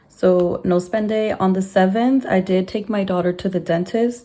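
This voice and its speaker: A woman's fairly slow, monotone voice at medium pitch in an American accent, with noticeable background noise. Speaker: budgeting vlogger. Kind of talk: casual talk-through tutorial.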